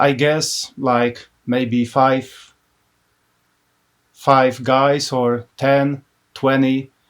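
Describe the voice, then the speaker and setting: A man's fairly high voice with a Polish accent. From Poland, Łódź. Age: 30s. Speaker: business owner and graphic designer. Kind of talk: casual interview. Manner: halting.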